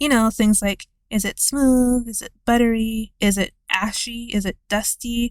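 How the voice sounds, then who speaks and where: A woman speaks with an unremarkable speaking voice, fairly high in pitch, at a fairly slow pace. Her intonation stays fairly even, and the sound is dry and close with no echo. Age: 20s. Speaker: video essayist. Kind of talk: scripted narration.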